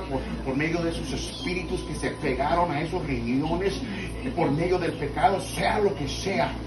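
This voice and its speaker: A man's moderately paced speech plays over music in the background. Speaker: preacher praying for healing. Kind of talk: fervent healing prayer. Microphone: camera far.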